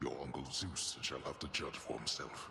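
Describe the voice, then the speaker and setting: Growling in a put-on character voice, a man speaks at a very deep, low pitch and a moderate pace over clear background noise. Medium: video game. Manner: grave, measured.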